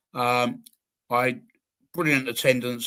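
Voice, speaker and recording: A man with a southern English accent speaks at a moderate pace and medium pitch. His tone is bright and sharp, his intonation monotone and flat. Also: very clean recording, silent background. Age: 60s. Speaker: football fan podcast guest. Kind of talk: casual chat.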